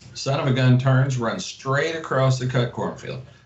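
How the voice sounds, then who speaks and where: A man speaks with an American accent, with audible room echo. Noticeable background noise sits behind him. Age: 50s. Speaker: hunter. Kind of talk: casual chat.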